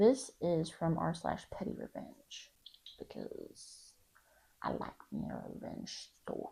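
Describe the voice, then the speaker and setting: Quietly, a woman speaks at a very slow pace. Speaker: YouTuber reading Reddit stories. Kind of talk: reading aloud with casual commentary. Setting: home apartment at night. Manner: quiet, keeping voice down; casual, hesitant with many ums.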